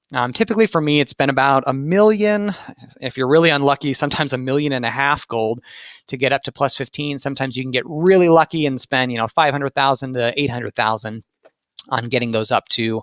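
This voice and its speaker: Very rapid talk from a man, fairly high in pitch, its rise and fall ordinary. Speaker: gaming youtuber. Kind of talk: tutorial. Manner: fast.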